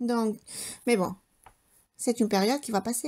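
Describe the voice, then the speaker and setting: On a very clean recording with a silent background, a woman with a Spanish accent speaks fairly slowly in a fairly high voice. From Spain. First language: Spanish (speaking French). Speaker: homemaker vlogger. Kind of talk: casual vlog chat. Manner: hesitant, many fillers.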